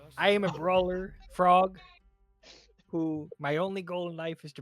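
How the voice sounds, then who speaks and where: Over faint music in the background, a female-sounding voice at medium pitch does a put-on character voice at a moderate pace. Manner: gruff, determined.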